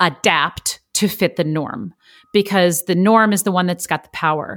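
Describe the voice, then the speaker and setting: Recorded very cleanly against a silent background, a woman with fairly low pitch speaks fairly slowly in an animated tone with ordinary pitch variation. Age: 30s. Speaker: actress and voice coach. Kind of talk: casual chat.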